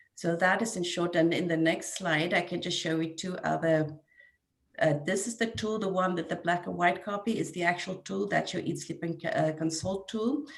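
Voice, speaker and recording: With a South African accent, a woman of fairly low pitch speaks at a moderate pace and with ordinary pitch variation. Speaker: neonatal nurse coordinator. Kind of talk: webinar presentation.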